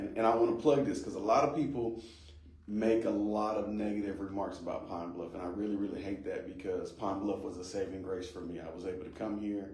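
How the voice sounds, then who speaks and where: A man's fairly low voice with an American accent, fairly quick in pace, with audible room echo. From US Midwest (Ohio, Kansas; born Las Vegas). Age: 30s. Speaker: pastor, court worker and county judge candidate. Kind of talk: podcast interview. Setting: studio.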